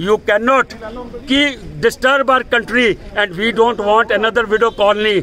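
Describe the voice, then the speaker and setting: Over light background noise, a man uses a raised, projected voice at a fairly slow pace, with fairly even intonation and very even loudness. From India (Delhi). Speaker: Sikh community activist. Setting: outdoors at a protest outside an embassy. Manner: indignant and confrontational, piling up accusations and demands; halting with fillers and repetitions, then punchy defiant short sentences. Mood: angry, defiant. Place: street. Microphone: phone near.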